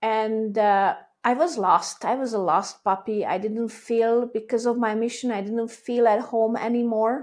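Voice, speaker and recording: In a very clean recording with a silent background, a woman with a Hungarian accent speaks fairly slowly, her fairly high voice keeping a fairly even intonation. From Hungary. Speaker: business owner. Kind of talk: casual chat.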